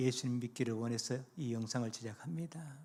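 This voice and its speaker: A man speaks with a slightly breathy quality and normal variation in pitch. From South Korea, North Gyeongsang (Gumi countryside). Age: 70s. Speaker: retired pastor. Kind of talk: evangelistic sermon with life testimony.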